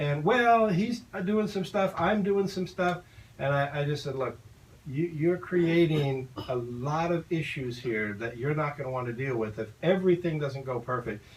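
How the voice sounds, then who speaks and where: Speaking in a normal speaking voice, a man uses a fairly high pitch and lively intonation at a moderate pace. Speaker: property manager. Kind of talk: radio talk show.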